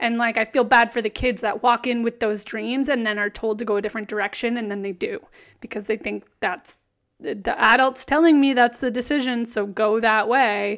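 Here is a woman with an ordinary speaking voice and a fairly high pitch. She keeps a moderate pace and fairly even intonation on a very clean recording with a silent background. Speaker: podcast co-host. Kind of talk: casual chat.

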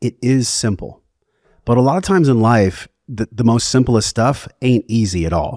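A man with a plain, everyday voice at medium pitch speaks at a moderate pace with lively intonation and very even loudness, in a dry, close sound with no echo on a very clean recording with a silent background. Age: 40s. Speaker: wellness podcast host and breathwork facilitator. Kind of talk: casual chat; guided breathing instruction.

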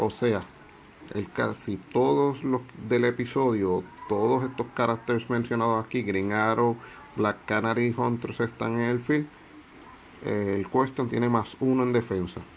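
Over noticeable background noise, a man with a medium pitch talks at a fairly slow pace, his intonation fairly even and his speech marked by long, frequent pauses. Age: 40s. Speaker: tabletop game video host. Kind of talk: casual explainer video. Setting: outdoors on carport.

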